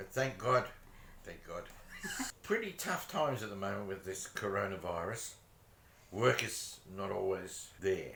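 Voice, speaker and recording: A man speaks at a fairly slow pace with long, frequent pauses and big swings in loudness. The recording has noticeable background noise and audible room echo. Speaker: vlogger. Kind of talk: casual chat. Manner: quiet.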